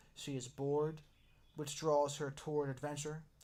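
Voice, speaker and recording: A man talks in a soft-spoken way. His pitch sits fairly high. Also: very clean recording, silent background. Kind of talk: ASMR book reading.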